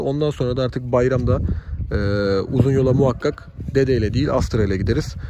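There is noticeable background noise. The sound itself is dry, with no echo. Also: man. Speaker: car vlogger. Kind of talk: casual vlog chat. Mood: cheerful, pleased with new car. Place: street. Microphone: phone near.

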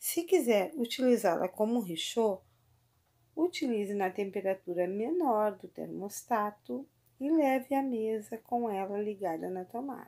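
A woman with a Brazilian accent, a fairly high pitch, a dark, mellow tone, lively intonation and a fairly slow pace over a quiet background. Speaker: product reviewer. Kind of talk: casual product demo. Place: kitchen.

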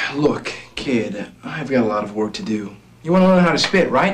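A man speaks with very wide pitch swings, keeping a moderate pace. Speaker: actor playing a spitting champion. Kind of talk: scripted film dialogue. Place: office.

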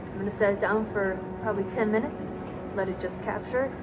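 A woman at a fairly quick pace amid loud background noise. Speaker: travel vlogger. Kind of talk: casual vlog chat. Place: tunnel cave. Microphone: camera far.

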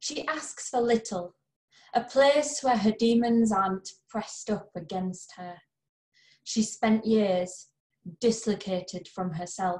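Very slow and somewhat breathy, the voice has long, frequent pauses and ordinary pitch variation against a quiet background. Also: woman, fairly high pitch for a woman. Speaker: poet, reader of own or anthology poem. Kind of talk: poem reading, reading aloud a poem. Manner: measured, tender, earnest; emotionally weighted, warm and empathetic. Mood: gentle, earnest. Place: home room. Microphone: webcam.

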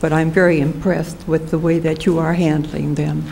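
Noticeable background noise and audible room echo surround a woman who speaks at a moderate pace in a fairly low voice. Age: 80s+. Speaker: resident giving public comment. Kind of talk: public comment. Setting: city commission chamber.

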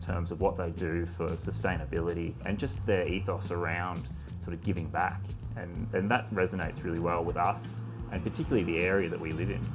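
Clear music plays behind a man with a very deep, low voice. He talks at a fairly quick pace with ordinary pitch variation. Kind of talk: interview answer. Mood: calm, reflective. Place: cafe. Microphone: lapel.

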